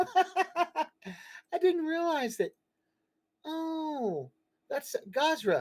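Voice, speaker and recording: This is a put-on character voice, squeaky and extremely high in pitch. It moves at a very slow pace with long, frequent pauses. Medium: actual play.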